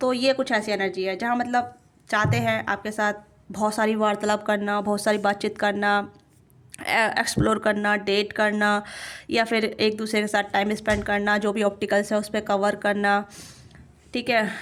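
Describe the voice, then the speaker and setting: A woman at medium pitch, monotone and flat, with very even loudness. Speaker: tarot reader. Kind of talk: tarot reading.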